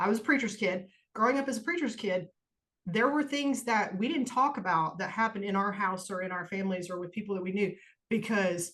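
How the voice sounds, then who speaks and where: A woman with an American accent speaks in a normal speaking voice. Her pitch is medium and varies in an ordinary way. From US Midwest. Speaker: podcast co-host. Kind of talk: personal testimony in casual podcast chat. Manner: casual, informal.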